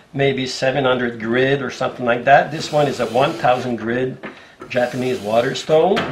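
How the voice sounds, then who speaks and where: With audible room echo and noticeable background noise, a man talks at a moderate pace in a medium pitch with fairly even intonation. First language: French. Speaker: bookbinder and leather craftsman. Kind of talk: tutorial. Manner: halting, with fillers and restarts.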